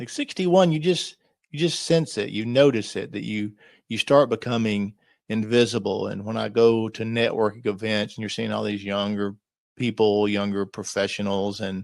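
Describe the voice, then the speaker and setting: Fairly low in pitch, this man has an ordinary speaking voice and keeps a moderate pace. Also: ordinary pitch variation. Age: 60s. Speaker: lifestyle vlogger. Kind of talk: solo podcast reflection. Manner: casual conversational.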